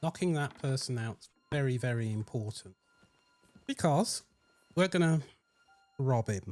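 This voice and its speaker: A man at a fairly slow pace, with long, frequent pauses, dry, close sound with no echo, and music in the background. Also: medium pitch for a man, lively intonation. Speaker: gaming youtuber. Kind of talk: game walkthrough commentary. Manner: casual, conversational.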